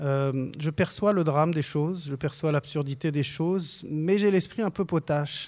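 A man with a plain, everyday voice speaks at a fairly slow pace, with ordinary pitch variation and hardly any pauses. The recording is very clean, with a silent background. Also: fairly high pitch for a man. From Lebanon. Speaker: film director. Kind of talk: radio interview.

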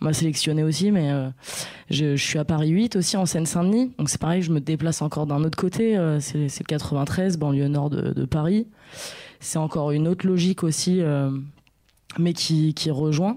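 Pausing long and often, a woman speaks at a moderate pace in a very deep, low, dark and mellow voice, with very even loudness and ordinary pitch variation. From Blois area, France. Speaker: artist and researcher. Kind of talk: radio interview. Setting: studio.

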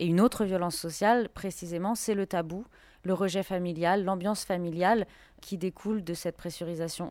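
This woman talks at a fairly quick pace and medium pitch, in a flat monotone. The recording is very clean, with a silent background. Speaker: intersex activist. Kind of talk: testimony.

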